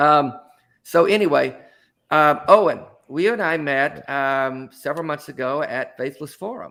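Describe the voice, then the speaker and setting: In a very clean recording with a silent background, a man with an American accent speaks in a bright, sharp tone at fairly high pitch with ordinary pitch variation. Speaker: talk show host and author. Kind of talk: casual chat. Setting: live stream show. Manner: halting with repeated words.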